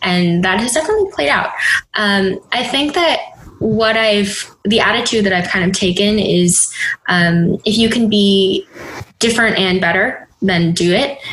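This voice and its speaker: An ordinary speaking voice belongs to a woman with an American accent, at medium pitch and very even loudness. She talks at a fairly slow pace with ordinary pitch variation. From US Midwest, Minneapolis. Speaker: startup accelerator leader and investor. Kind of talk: casual interview.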